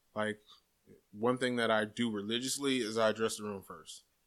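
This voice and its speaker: An American accent marks this man's medium-pitched voice, flat and monotone at a moderate pace. The recording is very clean with a silent background. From Jacksonville, Florida. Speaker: stand-up comedian. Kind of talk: casual chat.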